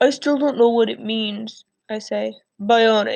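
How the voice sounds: With ordinary pitch variation, a natural reading voice comes through over a quiet background.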